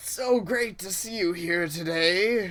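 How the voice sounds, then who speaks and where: In a put-on character voice, this female-sounding voice speaks fairly slowly at a medium pitch for a woman. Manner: put-on, faux-cheerful.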